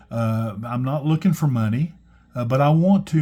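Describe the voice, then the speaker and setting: A man's dark, mellow, somewhat breathy voice at a medium pitch, with ordinary pitch variation. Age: 60s. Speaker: stationery YouTuber. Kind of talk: casual show-and-tell video. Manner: halting, many fillers and restarts.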